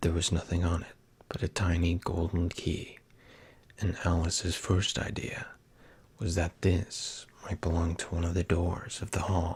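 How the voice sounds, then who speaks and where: Soft-spoken and somewhat breathy, a man with a very deep, low pitch speaks in a flat monotone at a fairly slow pace. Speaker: ASMR creator. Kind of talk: storybook reading.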